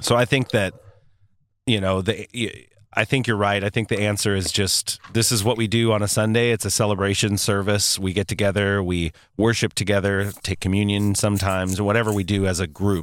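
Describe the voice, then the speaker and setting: In a very clean recording with a silent background, a man speaks in a normal speaking voice, fairly low in pitch, at a fairly quick pace, with fairly even intonation and very even loudness. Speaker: co-host and worship leader. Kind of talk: casual chat. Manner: joking, playful.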